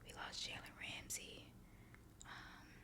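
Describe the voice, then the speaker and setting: Over noticeable background noise, a voice whispers. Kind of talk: ASMR ramble. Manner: whispered; casual, chatty.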